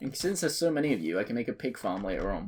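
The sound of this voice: A man's fairly low voice with a slightly husky edge and slightly mellow tone, fast-paced, with big pitch swings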